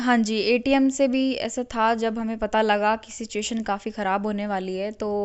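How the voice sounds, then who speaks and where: Her pitch is fairly high, and her intonation is monotone and flat. This woman speaks with hardly any pauses. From Haryana, India. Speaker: MBBS student returned from Ukraine. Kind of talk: interview answer.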